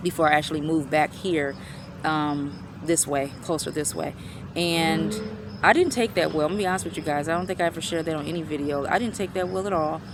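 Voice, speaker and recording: Over noticeable background noise, a woman with a very deep, low pitch talks at a very fast pace with ordinary pitch variation. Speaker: vlogger. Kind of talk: personal vlog testimony.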